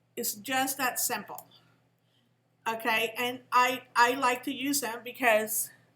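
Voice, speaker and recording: With a bright, sharp tone and fairly even intonation, a woman speaks very slowly at a high pitch, leaving long, frequent pauses amid audible room echo. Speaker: teacher. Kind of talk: lecture. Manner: halting.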